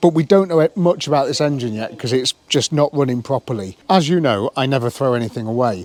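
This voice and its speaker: A man with a British accent at a moderate pace, very wide pitch swings, and a dry, close sound with no echo. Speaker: car restoration youtuber. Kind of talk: hands-on vlog commentary. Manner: casual.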